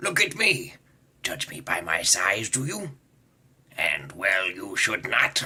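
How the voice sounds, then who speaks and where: A put-on character voice whispers at a fairly slow pace. Long, frequent pauses break up the speech. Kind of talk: character impressions supercut.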